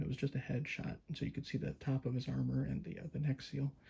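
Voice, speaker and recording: A soft-spoken man talks at a medium pitch in a calm tone. His voice sounds somewhat breathy, with a dark, mellow tone. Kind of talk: casual talk to camera, toy review. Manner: soft-spoken, calm.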